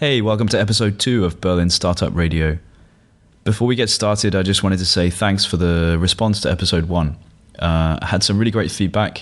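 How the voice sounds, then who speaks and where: Speaking at a fairly quick pace, a man with a British accent uses a very deep, low pitch, ordinary pitch variation and very even loudness. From UK. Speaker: podcast host. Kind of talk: interview.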